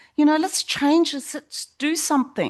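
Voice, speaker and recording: A woman's high-pitched voice with an Australian accent. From South Australia, Port Adelaide. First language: not English. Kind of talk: panel discussion. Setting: stage with audience.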